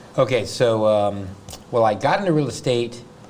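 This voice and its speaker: A man with an American accent amid noticeable background noise and audible room echo. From US South. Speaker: real estate agent and coach. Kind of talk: interview. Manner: fast.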